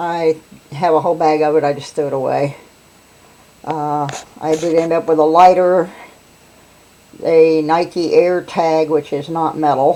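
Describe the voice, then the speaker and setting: A Southern US accent at a fairly slow pace, with fairly even intonation, long, frequent pauses and noticeable background noise. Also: woman. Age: old. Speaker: metal detectorist. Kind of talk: casual narration to camera.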